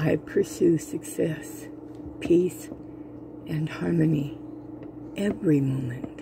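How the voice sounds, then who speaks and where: The pace is very slow, with long, frequent pauses. The sound is dry with no echo, and there is noticeable background noise. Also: woman. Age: 70s. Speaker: diet vlogger. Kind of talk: casual talk to camera. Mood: confessional, self-critical.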